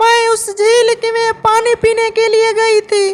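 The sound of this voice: A cartoonish character voice, female-sounding and extremely high in pitch, with monotone, flat intonation at a moderate pace.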